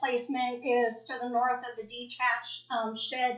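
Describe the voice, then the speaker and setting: Her intonation is monotone and flat, and her pitch is high. The woman speaks at a moderate pace in an American accent. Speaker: property owner petitioner. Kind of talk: public hearing testimony. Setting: county board meeting room.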